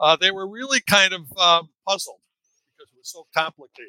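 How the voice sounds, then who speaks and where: Recorded dry and close with no echo, a man with an American accent speaks at a moderate pace in a bright, sharp tone. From Chicago. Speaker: author, former trial lawyer. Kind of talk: interview.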